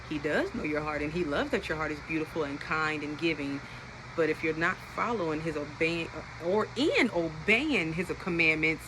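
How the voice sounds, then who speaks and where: A woman with a fairly low pitch speaks in an animated tone. Noticeable background noise is present. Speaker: Bible teacher on social media. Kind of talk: Bible study talk. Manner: fast.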